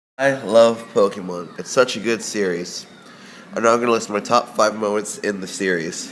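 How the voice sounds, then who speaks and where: Over noticeable background noise, a man with a fairly low pitch speaks at a moderate pace with fairly even intonation. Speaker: gaming video maker. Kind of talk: casual countdown monologue. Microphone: echoey room.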